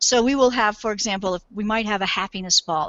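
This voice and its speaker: Speaking at a very fast pace, a woman uses a medium pitch and ordinary pitch variation. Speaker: game developer. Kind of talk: interview.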